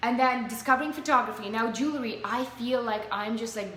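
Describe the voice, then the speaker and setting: A woman with a Russian accent speaks in a fairly even intonation, with audible room echo and noticeable background noise. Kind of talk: casual interview. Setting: live video stream.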